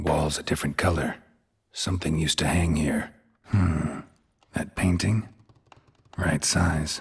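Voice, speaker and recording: A man puts on a character voice with a very deep, low pitch, speaking at a fairly slow pace with long, frequent pauses. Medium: video game. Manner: terse, flat, low-key.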